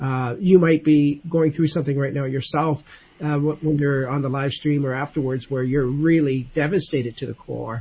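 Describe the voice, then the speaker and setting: A man with a fairly high pitch speaks in a somewhat breathy voice with fairly even intonation. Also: moderate pace. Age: 60s. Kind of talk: casual faith discussion.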